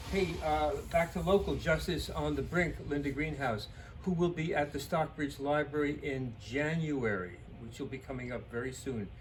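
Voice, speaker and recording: Audible room echo surrounds a man speaking with vocal fry. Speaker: bookstore owner. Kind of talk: book recommendations. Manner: fast; halting.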